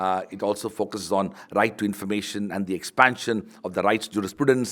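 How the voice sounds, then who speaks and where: A man's fairly low voice with fairly even intonation, in a very clean recording over a silent background. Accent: Tamil. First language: Tamil. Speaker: university vice chancellor, book launch speaker. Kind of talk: formal speech at book launch. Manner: formal, with frequent fillers.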